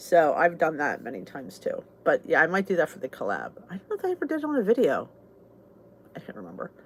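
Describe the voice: A woman with a Southern New Jersey accent, low-pitched with a slightly husky edge, fast, with very wide pitch swings. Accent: southern New Jersey American.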